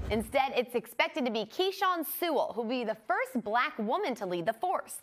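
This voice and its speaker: A woman with an American accent speaks at a fairly quick pace in a high voice that swings very widely in pitch. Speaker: news anchor and reporter. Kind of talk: TV news anchor read. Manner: clear, polished, brisk.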